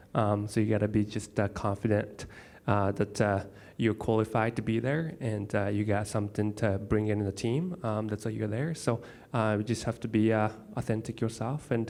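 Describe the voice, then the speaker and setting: In a very clean recording with a silent background, a man with a Japanese accent speaks at a fairly low pitch with fairly even intonation. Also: moderate pace. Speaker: airline pilot, panelist. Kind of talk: panel discussion. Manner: halting, many fillers.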